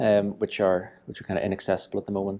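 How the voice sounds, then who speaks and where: Over light background noise, a man talks in a dark, mellow tone at a fairly low pitch. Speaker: video host. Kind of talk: casual tour commentary. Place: empty room. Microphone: lapel.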